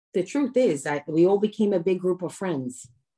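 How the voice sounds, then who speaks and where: Dark, mellow tone from a woman with lively intonation and a New York accent. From New York, Brooklyn. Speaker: comedian and social media creator. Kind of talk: casual interview chat.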